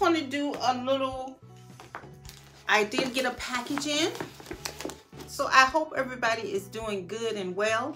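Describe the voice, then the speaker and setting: Clear music plays in the background as a woman speaks in a raised, projected voice. She leaves long, frequent pauses. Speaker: style vlogger. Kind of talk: casual vlog chat. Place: home room. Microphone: phone near.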